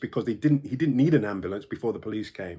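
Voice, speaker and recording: In a very clean recording with a silent background, a man with a London accent speaks at medium pitch with ordinary pitch variation. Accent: British English, London. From United Kingdom. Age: 60s. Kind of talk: personal testimony to camera.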